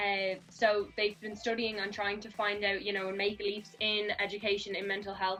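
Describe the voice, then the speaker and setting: Against noticeable background noise, a woman with a Dublin accent speaks in a flat monotone at a medium pitch. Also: moderate pace, hardly any pauses. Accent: Irish (Dublin). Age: 20s. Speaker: youth mental health advocate. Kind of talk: casual interview. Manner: hesitant with frequent fillers.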